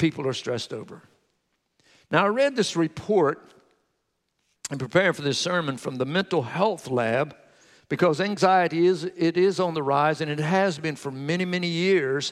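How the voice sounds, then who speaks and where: High pitch from a man with an American accent, ordinary pitch variation, a moderate pace and long, frequent pauses, on a very clean recording with a silent background. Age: 60s. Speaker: pastor. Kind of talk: sermon. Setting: church.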